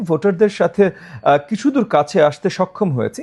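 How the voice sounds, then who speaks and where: A man is speaking. His tone is dark and mellow. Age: 50s. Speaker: politician. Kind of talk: interview.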